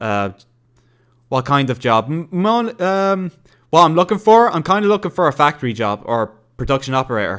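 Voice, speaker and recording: In a very clean recording with a silent background, a man with an Irish accent and a fairly high pitch talks at a moderate pace with very wide pitch swings. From Ireland. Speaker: gaming streamer. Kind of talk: casual livestream chat reading viewer comments. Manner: halting, many fillers and restarts.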